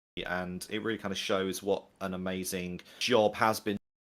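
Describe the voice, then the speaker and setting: Speaking with a strong Manchester accent, a man uses a fairly low voice at a moderate pace with fairly even intonation. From northern England, Manchester. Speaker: game industry professional. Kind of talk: community livestream chat. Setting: livestream.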